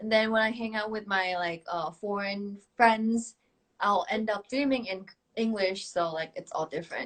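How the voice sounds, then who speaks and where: A woman with a Thai accent, fairly high in pitch, at a moderate pace with ordinary pitch variation. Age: 20s. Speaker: K-pop idol singer. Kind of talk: casual chat. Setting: Instagram live video stream.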